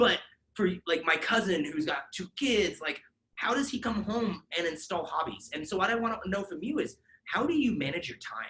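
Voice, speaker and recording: A man's raised, projected voice, pitched high. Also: lively intonation, moderate pace. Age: 30s. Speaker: podcast host. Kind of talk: casual chat.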